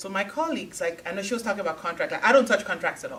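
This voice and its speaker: A woman speaks at a medium pitch. Noticeable background noise sits behind her. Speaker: technology recruiter. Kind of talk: panel talk to audience.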